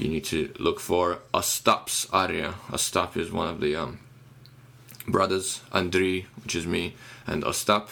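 Very deep and low, the man's voice has a bright, sharp tone. He speaks at a fairly slow pace with fairly even intonation. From Ukraine, Kyiv. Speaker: musician. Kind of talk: casual chat.

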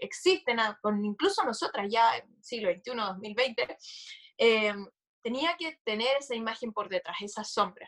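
In a normal speaking voice, a woman with a fairly high pitch talks at a fairly slow pace with lively intonation. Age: 20s. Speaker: entrepreneur and law student. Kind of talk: casual chat.

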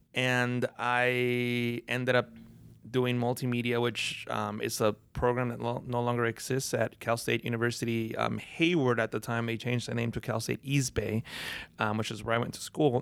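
In a Spanish accent, the speaker talks at a moderate pace with monotone, flat intonation on a very clean recording with a silent background. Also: man, medium pitch for a man. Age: 30s. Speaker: designer and Photoshop trainer. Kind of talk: casual interview chat. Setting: in person at an event in Las Vegas.

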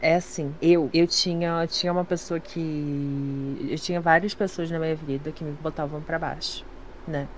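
A woman with an ordinary speaking voice, fairly low pitch, fairly even intonation and a fairly slow pace. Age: young. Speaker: streamer. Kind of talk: casual chat.

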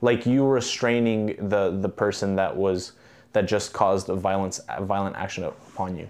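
A plain, everyday voice from a man, fairly low in pitch, with fairly even intonation at a moderate pace over a quiet background. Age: 20s. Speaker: competitive boxer and economics student. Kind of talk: casual chat.

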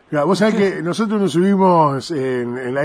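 A man speaks at a fairly quick pace. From Argentina, Buenos Aires province (Arrecifes). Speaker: radio host and stadium announcer. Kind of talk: interview; formal introduction. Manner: animated.

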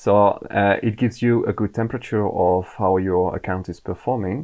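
A man speaks with a French accent at a moderate pace. His pitch is fairly low and his intonation fairly even. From France. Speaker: Amazon advertising manager. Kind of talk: podcast interview.

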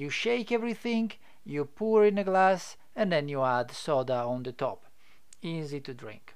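Very wide pitch swings mark a man's fairly high voice at a fairly slow pace. The recording is very clean with a silent background. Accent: Italian. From Italy. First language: Italian. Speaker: podcast host and business developer. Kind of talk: informative monologue. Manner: halting, many fillers.

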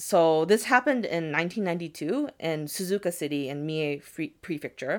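In a very clean recording with a silent background, a normal speaking voice with an American accent moves at a fairly slow pace. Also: woman, fairly low pitch for a woman. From United States. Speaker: podcast host, storyteller. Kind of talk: storytelling in casual chat. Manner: casual, frequent 'like' fillers and laughter.

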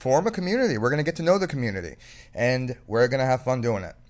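With an American accent and a normal speaking voice, a man talks at a fairly quick pace. His pitch is medium, with ordinary pitch variation. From South Florida. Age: 30s. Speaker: podcast host. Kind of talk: casual chat.

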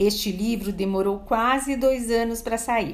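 A woman's fairly high voice makes very wide pitch swings at a fairly slow pace, with audible room echo around it. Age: 60s. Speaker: event caterer and actress. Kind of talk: prepared personal testimony.

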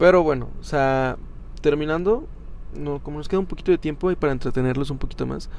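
Here a man talks very fast. His pitch is fairly high, with ordinary variation. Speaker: podcast co-host. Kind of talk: casual chat. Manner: animated.

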